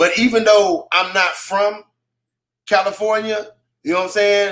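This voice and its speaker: A high-pitched man's voice at a moderate pace, with ordinary pitch variation. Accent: American. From Texas, Waco. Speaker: hip hop artist. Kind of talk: radio interview. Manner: halting.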